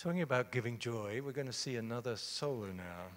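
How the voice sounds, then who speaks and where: With an Australian accent, a man talks at a moderate pace and medium pitch with ordinary pitch variation. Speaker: moderator. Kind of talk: on-stage interview.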